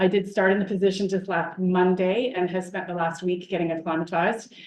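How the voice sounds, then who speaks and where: In a Canadian accent, a woman of medium pitch speaks at a fairly quick pace with monotone, flat intonation. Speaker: municipal chief administrative officer. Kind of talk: council meeting report. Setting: council meeting. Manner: fast.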